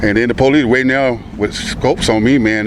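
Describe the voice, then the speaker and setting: Fairly even intonation and a medium pitch mark this man's speech, heard over noticeable background noise. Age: 60s. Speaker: housemate of a police raid victim. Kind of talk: news interview.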